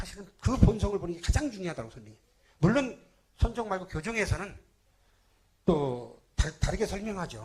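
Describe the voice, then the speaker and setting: Long, frequent pauses break up this man's high-pitched speech, which has very wide pitch swings and big swings in loudness. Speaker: Buddhist monk. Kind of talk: sermon. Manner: fast.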